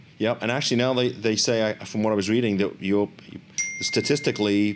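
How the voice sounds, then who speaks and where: Noticeable background noise runs under this man's voice. He speaks fairly quickly with very even loudness. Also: medium pitch for a man. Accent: American. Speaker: lawyer and podcast host. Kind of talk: interview. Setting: studio with video call guests. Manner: fast; energetic.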